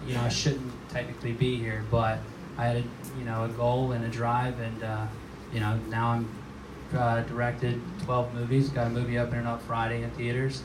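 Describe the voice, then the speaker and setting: In an American accent, a man speaks at a fairly quick pace and medium pitch with monotone, flat intonation, amid noticeable background noise and audible room echo. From South Carolina, Georgetown. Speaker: film director. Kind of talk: panel discussion. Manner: casual, halting with fillers.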